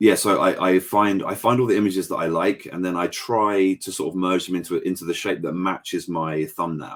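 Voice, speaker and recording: In an English accent, a man with a very deep, low pitch talks at a moderate pace with fairly even intonation on a very clean recording with a silent background. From England. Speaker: painter. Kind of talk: casual chat.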